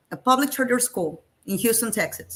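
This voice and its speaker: A woman talks with a Spanish accent. She speaks fairly slowly. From Colombia, Medellin. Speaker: STEM teacher. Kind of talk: webinar presentation.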